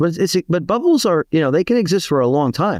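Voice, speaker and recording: The pitch swings very widely at a fairly quick pace. The sound is dry and close with no echo, over a quiet background. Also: man. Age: 60s. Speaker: financial advisor and money manager. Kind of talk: interview. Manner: halting with many restarts and fillers.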